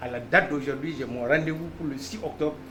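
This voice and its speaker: With noticeable background noise and audible room echo, a man talks at a fairly quick pace and fairly high pitch with lively intonation. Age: 60s. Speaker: patient attending medical talk. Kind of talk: testimony.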